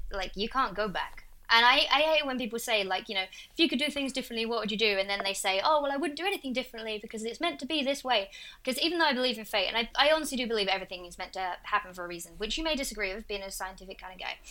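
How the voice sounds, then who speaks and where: A woman with an Essex accent speaks at a very fast pace in a bright, sharp, fairly high-pitched voice, her lively intonation and big swings in loudness captured on a very clean recording with a silent background. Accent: Essex English, h-dropping. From Essex, England. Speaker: video creator guest host. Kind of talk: casual chat.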